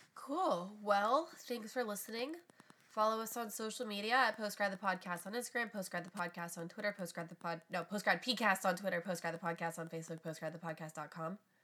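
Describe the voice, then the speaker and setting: Against noticeable background noise, a woman talks at a fairly quick pace and medium pitch in an animated tone. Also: ordinary pitch variation. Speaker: podcast co-host. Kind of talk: casual chat.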